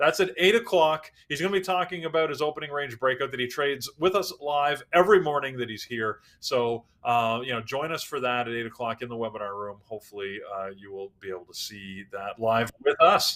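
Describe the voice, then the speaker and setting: With a bright, sharp tone and lively intonation, a man speaks at a medium pitch and a fairly quick pace, with hardly any pauses and big swings in loudness. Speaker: trading educator hosting a live pre-market show. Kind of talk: live stream announcements and market prep. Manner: fast.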